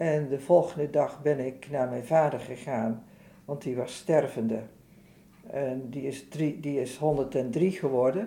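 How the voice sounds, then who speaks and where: A woman speaks at a very slow pace. Her voice is very deep and low, with a dark, mellow tone. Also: ordinary pitch variation. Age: 70s. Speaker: author sharing personal loss. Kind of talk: testimony.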